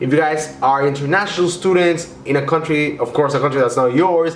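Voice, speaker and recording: A man with a Spanish accent speaks at a fairly quick pace and a fairly high pitch. Noticeable background noise and audible room echo fill the recording. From Venezuela. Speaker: YouTuber, international student. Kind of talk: vlog tips video. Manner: casual, enthusiastic.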